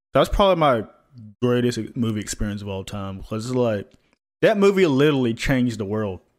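At a fairly quick pace, a man with an ordinary speaking voice talks at medium pitch with lively intonation. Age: 20s. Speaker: podcast co-host. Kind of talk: casual chat. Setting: video call.

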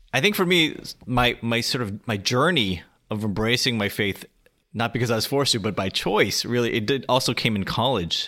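On a very clean recording with a silent background, a man with an American accent speaks at medium pitch in a bright, sharp tone with ordinary pitch variation. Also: moderate pace. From US, Korean American family. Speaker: blogger and author. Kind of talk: casual interview.

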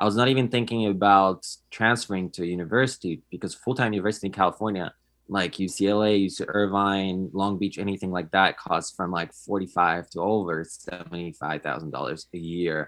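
With a Polish accent, a man talks at a fairly quick pace. His very deep, low voice shows ordinary pitch variation. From Poland. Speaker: podcaster. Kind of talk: interview.

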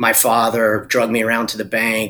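Fairly quick and bright with a sharp tone, a man talks at a medium pitch with a North Carolina accent. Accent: US Southern (North Carolina). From Eastern North Carolina. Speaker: investor and former business owner. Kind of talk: interview.

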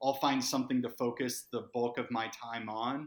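A plain, everyday voice from a man, medium in pitch, fairly slow, with fairly even intonation. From Massachusetts. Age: 40s. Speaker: startup founder and CEO. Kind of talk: podcast interview.

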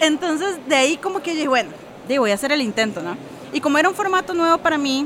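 Lively intonation at a very fast pace, with noticeable background noise. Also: woman. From Costa Rica. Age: 30s. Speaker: poet and former journalist. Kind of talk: interview. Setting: book fair.

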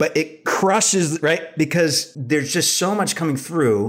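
This man has a plain, everyday voice with ordinary pitch variation. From US Northeast, Rhode Island. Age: 30s. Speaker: therapist. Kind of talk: casual interview.

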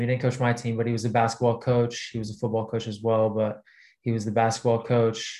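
A man with a Texan accent speaks in monotone, flat intonation. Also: quiet background. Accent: Texan American. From Texas. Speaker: basketball player. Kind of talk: casual interview chat.

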